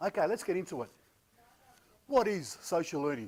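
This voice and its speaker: A man speaks with an Australian accent. His intonation is lively. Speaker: conference speaker, learning consultant. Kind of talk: conference presentation. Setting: stage with live audience, no microphone. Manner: casual, with frequent hesitations.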